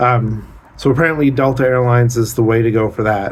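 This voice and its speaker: With fairly even intonation, a man talks at a fairly slow pace in a medium pitch. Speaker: vlogger. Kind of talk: casual vlog monologue. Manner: loud; hesitant, many fillers.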